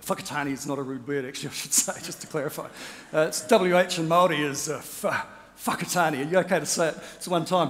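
A man with a New Zealand accent at a very fast pace, fairly even in intonation with big swings in loudness. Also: fairly high pitch for a man. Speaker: rowing champion and motivational speaker; motivational speaker. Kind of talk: keynote speech. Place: stage. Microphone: headset.

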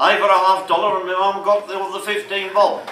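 A man's raised, projected voice at a moderate pace, with light background noise and audible room echo. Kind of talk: talk to an audience with slides. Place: bar. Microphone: camera far.

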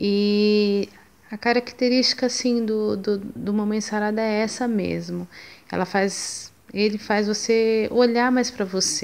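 A woman speaks at a fairly slow pace in a fairly high pitch, her intonation flat and monotone. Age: 30s. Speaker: mother giving a fitness program testimonial. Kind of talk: testimony. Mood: earnest, a bit sad. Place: home room. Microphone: phone near.

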